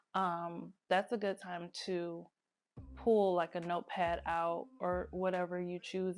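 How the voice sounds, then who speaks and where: Music plays in the background as a woman talks at a fairly low pitch. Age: 30s. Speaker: lifestyle vlogger. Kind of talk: casual talk to camera.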